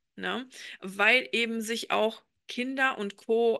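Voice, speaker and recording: A woman's fairly high voice, bright and sharp in tone, with ordinary pitch variation and a dry, close sound with no echo over a quiet background. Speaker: podcast co-host. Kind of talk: casual chat. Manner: hesitant, many filler sounds.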